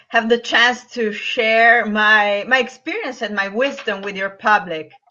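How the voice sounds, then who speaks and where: A fairly slow pace with an Italian accent. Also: woman. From Italy. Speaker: business and lifestyle coach. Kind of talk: interview. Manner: halting.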